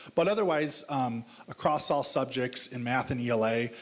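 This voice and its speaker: This is a very clean recording with a silent background. A man speaks at medium pitch with ordinary pitch variation. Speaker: education data consultant. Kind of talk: presentation to school board. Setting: school board meeting.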